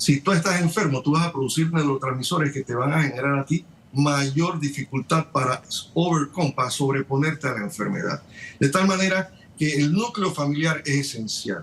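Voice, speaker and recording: This man's voice sits fairly high in pitch. There is noticeable noise in the background. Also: ordinary pitch variation, moderate pace. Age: 60s. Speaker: surgeon. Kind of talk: TV news interview. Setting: remote connection.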